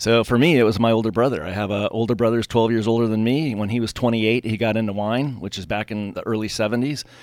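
A man races along at a very fast pace with hardly any pauses, keeping his intonation fairly even. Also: medium pitch for a man. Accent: Californian. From Southern California, Pasadena area. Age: 50s. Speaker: winery owner. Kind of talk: interview. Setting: studio.

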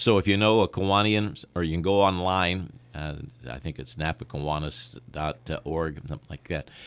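With an American accent, a man speaks at a very deep, low pitch using lively intonation. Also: moderate pace. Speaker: sportscaster. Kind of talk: interview. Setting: radio studio.

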